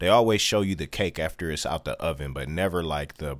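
In an American accent, a man talks at a fairly quick pace with a very deep, low pitch, vocal fry and ordinary pitch variation on a very clean recording with a silent background. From Detroit, US Midwest. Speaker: hip-hop artist. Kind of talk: casual interview.

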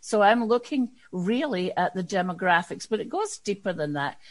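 A woman speaks at a fairly quick pace with a Scottish accent. Her pitch is medium and her intonation lively. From Scotland. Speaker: diversity and inclusion consultant. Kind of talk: interview.

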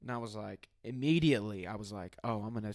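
An ordinary speaking voice with an American accent, a fairly quick pace, ordinary pitch variation and a dry, close sound free of echo. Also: man. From US Midwest, Southern Illinois (Benton). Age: 20s. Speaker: podcaster. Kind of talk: casual interview. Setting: in person at host's home.

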